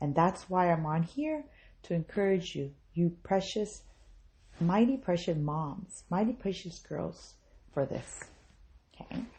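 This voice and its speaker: Somewhat breathy, a woman with an American accent talks at a fairly slow pace with long, frequent pauses. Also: fairly low pitch for a woman, lively intonation. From US South, South Mississippi. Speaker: podcast host. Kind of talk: motivational talk.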